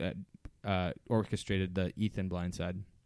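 Using a moderate pace, this man talks in an American accent. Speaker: podcast co-host. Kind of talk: casual chat. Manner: halting, many fillers.

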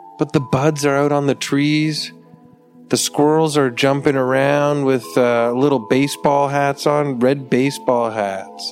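Music plays in the background while the voice moves at a fairly slow pace with ordinary pitch variation. Its loudness stays very even. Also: man, fairly high pitch for a man. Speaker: podcast host. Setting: indoors, window open. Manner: a bit hyper.

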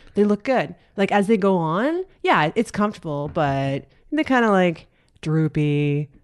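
A woman's fairly low, animated voice with lively intonation and very even loudness, against a quiet background. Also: fairly slow pace. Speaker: podcast guest. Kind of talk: casual comedic chat. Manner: animated, joking.

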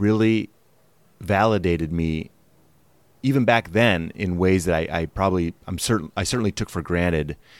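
On a very clean recording with a silent background and a dry, close sound with no echo, a man with an American accent speaks at a fairly slow pace in a very deep, low pitch with ordinary pitch variation. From Wisconsin, US Midwest. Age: 40s. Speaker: guest, actor. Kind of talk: casual interview chat.

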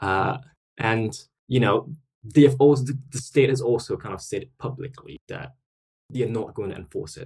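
A man's medium-pitched voice with vocal fry, ordinary pitch variation, big swings in loudness, a fairly slow pace and long, frequent pauses. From Singapore. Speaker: podcast guest. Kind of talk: casual interview chat.

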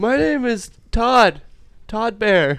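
A man performs a put-on character voice at a high pitch. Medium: actual play. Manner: chummy, casual.

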